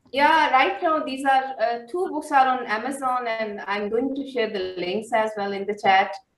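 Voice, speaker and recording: Delivered at a moderate pace with lively intonation, the speech runs on with hardly any pauses while audible room echo hangs around it. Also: woman, high pitch for a woman. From Pakistan. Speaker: poet. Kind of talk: poetry reading.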